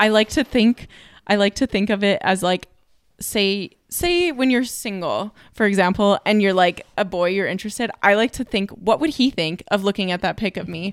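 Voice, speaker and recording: Here a woman with a normal speaking voice talks at a moderate pace, at medium pitch and with ordinary pitch variation. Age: 20s. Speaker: podcast co-host. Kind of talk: casual chat.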